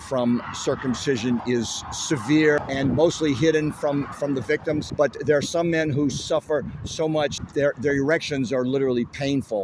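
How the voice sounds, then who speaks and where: At a moderate pace, a man with a fairly high pitch and ordinary pitch variation speaks over noticeable background noise. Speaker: activist protester. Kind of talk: street interview.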